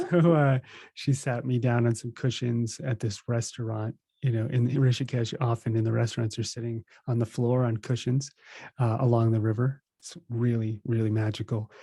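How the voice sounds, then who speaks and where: Somewhat breathy and dark, mellow in tone, a man's voice comes through on a very clean recording with a silent background. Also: medium pitch for a man, fairly even intonation, moderate pace. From New Jersey, US. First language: Russian. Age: 30s. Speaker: spiritual teacher. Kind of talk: podcast interview.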